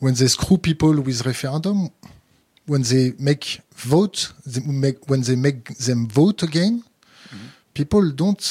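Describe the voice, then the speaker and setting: A man's somewhat breathy, fairly high voice in a French accent, fairly slow with lively intonation, dry and close with no echo, on a very clean recording with a silent background. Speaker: interviewer. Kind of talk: interview. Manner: halting.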